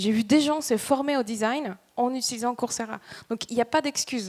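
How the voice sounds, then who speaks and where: The woman's pitch is high, with ordinary variation. Her pace is moderate. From Dominican Republic. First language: Spanish (speaking French). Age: 30s. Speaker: startup employee. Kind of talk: motivational talk. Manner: halting.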